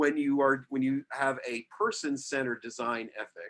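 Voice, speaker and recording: A man speaks with an American accent at a moderate pace, his pitch fairly high with ordinary pitch variation. It is a normal speaking voice. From New York, Westchester County. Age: 60s. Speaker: architect. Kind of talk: interview.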